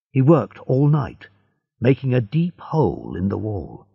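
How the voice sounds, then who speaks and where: The voice is dark and mellow with vocal fry, moving through very wide pitch swings at a fairly slow pace. The background is quiet. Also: man. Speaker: audiobook narrator. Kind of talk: audiobook reading. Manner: slow, clear.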